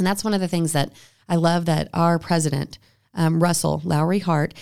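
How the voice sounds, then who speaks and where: A woman with an American accent speaks in a fairly low pitch and a dark, mellow tone. The recording is very clean, with a silent background. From Texas Panhandle, Amarillo. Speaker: psychology professor. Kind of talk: casual chat. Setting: studio.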